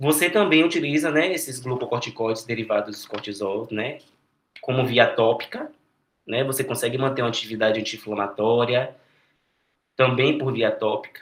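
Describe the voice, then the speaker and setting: A man speaks at a medium pitch. He keeps a moderate pace. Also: ordinary pitch variation. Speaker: medical student tutor. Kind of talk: lecture. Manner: halting.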